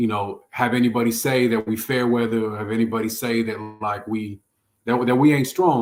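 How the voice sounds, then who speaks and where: With an American accent, a man speaks at a medium pitch. His pace is fairly quick and his intonation fairly even. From San Francisco, California. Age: 30s. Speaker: rapper. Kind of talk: casual chat.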